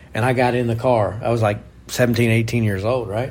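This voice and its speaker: The speaker has an American accent and talks at a moderate pace. Noticeable background noise and audible room echo are present. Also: man. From Oklahoma. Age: 40s. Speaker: racing driver and podcast host. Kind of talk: casual chat. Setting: condo.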